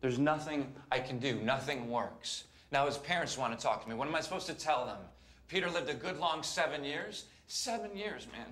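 Pitch varies in an ordinary way while the man keeps a fairly quick pace. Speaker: actor playing a doctor. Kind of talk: emotional drama dialogue. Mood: distressed, despairing.

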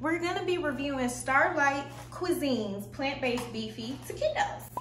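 A raised, projected voice comes at a moderate pace amid audible room echo and light background noise. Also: woman. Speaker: food review vlogger. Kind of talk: casual vlog chat. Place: kitchen. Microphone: phone near.

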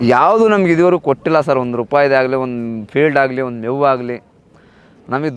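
In a plain, everyday voice, a man talks with lively intonation. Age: 40s. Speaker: cattle farmer. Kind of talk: casual interview.

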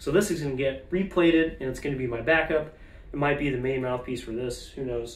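A man with ordinary pitch variation amid noticeable background noise. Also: fairly quick pace. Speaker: trombone player reviewing gear. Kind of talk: casual vlog talk to camera. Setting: home video recording to camera.

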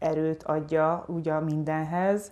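The voice of a woman has a dark, mellow tone. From Hungary, Tiszadob area; Hungary. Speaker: writer and journalist; journalist being interviewed. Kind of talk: interview. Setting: at home. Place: home room. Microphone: lapel.

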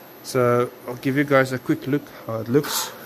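Light background noise sits behind a man speaking at a moderate pace with a non-native accent. His intonation is fairly even. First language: not English. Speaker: DIY builder and video maker. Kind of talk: tutorial. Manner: halting, with many fillers. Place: workshop. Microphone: phone near.

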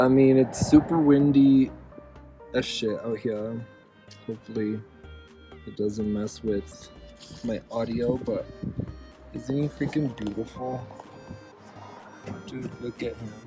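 Clear music plays in the background as the voice moves at a very slow pace with long, frequent pauses, the sound dry with no echo. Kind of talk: casual vlog chat. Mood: excited, admiring own artwork. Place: street. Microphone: phone near.

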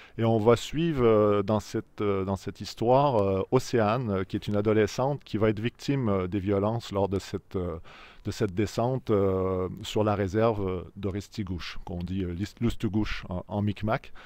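A man with a fairly low pitch speaks at a fairly slow pace. His intonation is fairly even, and the sound is dry with no echo. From Quebec. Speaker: novelist. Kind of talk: interview about his novel. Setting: filmed video interview, camera operated by friend. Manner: hesitant with frequent fillers and repetitions. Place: street. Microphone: handheld.

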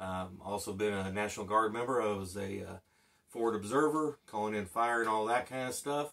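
A man talks in a normal speaking voice at a moderate pace. His pitch sits fairly low. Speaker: channel host, former instructor. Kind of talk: casual vlog chat. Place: home room.

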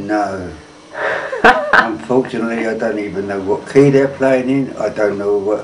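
Loud background noise surrounds this recording. A man speaks over it at a moderate pace. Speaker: accordionist. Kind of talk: interview answer. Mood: reminiscing calmly about old days. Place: home room. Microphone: phone near.

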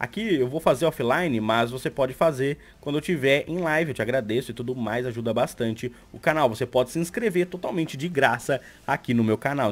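A man with a Brazilian accent talks at a very fast pace, his pitch rising and falling an ordinary amount. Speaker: YouTuber and Twitch streamer; YouTuber, Twitch streamer. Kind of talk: tutorial. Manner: animated. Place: home room.

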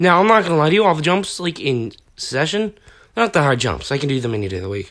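In a very clean recording with a silent background, a man talks at a very fast pace in a fairly high voice with vocal fry. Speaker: gaming YouTuber. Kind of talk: gameplay commentary. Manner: animated.

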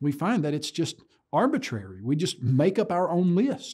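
Over a quiet background, a man with a high pitch and a dark, mellow tone speaks at a moderate pace, his pitch swinging very widely. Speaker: presenter. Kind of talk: lecture. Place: studio.

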